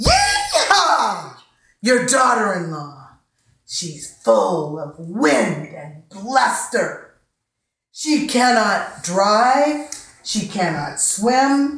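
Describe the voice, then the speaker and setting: Spoken in an American accent at a very slow pace, the voice has a playful tone with very wide pitch swings and big swings in loudness. There is audible room echo over a quiet background. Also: woman, high pitch for a woman. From United States. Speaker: storyteller, poet. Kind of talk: poetry reading, live storytelling performance. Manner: rhythmic, playful. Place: home room. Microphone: camera far.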